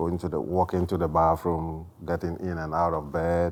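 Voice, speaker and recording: A man talks at a fairly slow pace. His very deep, low voice stays monotone and flat. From Ghana. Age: 60s. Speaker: home health caregiver, retired army veteran. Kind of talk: oral history interview. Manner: halting, with fillers.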